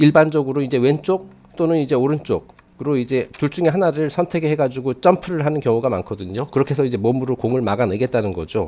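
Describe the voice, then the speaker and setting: With a dark, mellow tone and a fairly high pitch, a man speaks at a very fast pace with lively intonation and hardly any pauses. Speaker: publisher / channel host. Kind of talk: casual talk to camera, book review. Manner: hesitant, some stammering.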